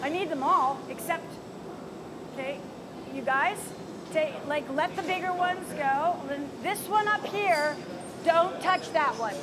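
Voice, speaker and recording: Amid noticeable background noise, a woman with an extremely high pitch talks at a fairly slow pace, with long, frequent pauses. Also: ordinary pitch variation. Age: 60s. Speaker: visiting glass artist teaching a demo; visiting glass artist instructor. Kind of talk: live glassblowing demonstration and instruction. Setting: glass hot shop studio. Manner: animated. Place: workshop.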